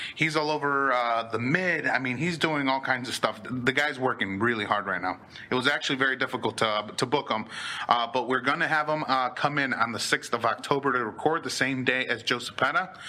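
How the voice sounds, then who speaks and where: A man with a medium pitch speaks fairly quickly in an animated tone, his pitch varying in an ordinary way. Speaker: podcast host. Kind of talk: casual chat. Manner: fast.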